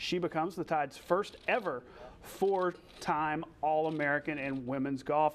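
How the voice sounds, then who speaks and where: A man with an unremarkable speaking voice talks at a fairly high pitch. His pace is fairly slow and his pitch variation ordinary. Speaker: sports news anchor. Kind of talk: local TV sports newscast delivery.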